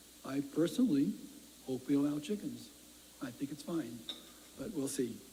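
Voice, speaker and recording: Fairly high in pitch, a man speaks at a moderate pace in a dark, mellow, somewhat breathy tone. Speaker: city council president. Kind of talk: civic update speech. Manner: halting.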